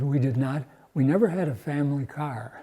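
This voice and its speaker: Somewhat breathy and dark, mellow in tone, the voice carries an American accent, ordinary pitch variation and a fairly slow pace. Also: man. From US Upper Midwest, Milwaukee, Wisconsin. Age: 90s. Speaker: retired churchgoer, Korean War era veteran. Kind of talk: oral history interview. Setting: cathedral. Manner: halting, with false starts.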